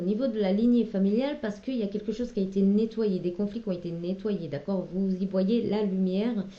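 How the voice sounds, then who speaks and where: Behind this woman, noticeable background noise is audible. She keeps a moderate speed. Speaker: tarot card reader. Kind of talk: tarot reading. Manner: hesitant; loud at moments.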